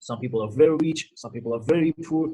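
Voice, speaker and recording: This man's voice has a dark, mellow tone, a somewhat breathy quality and pitch that varies in an ordinary way. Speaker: Islamic lecturer, cleric. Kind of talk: lecture. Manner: fast.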